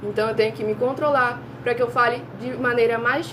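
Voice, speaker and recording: Fairly quick speech from a woman with a fairly high voice and fairly even intonation, amid noticeable background noise and audible room echo. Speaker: online preacher. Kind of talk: sermon.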